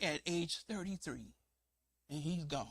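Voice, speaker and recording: A man's raised, projected voice, animated and bright with a sharp edge. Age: 60s. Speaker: preacher. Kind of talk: sermon.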